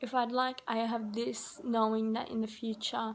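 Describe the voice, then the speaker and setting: Her fairly high voice stays in a monotone, flat intonation throughout as this woman speaks. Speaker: vlogger. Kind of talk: reflective monologue vlog. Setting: self-recorded video. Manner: slow; halting.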